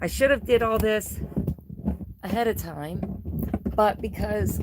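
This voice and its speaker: Noticeable background noise runs beneath a woman who speaks at a fairly slow pace. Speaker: yarn crafter livestreamer. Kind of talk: casual livestream chat. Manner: soft-spoken, regaining volume after weeks of whispering. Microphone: far from the recording device.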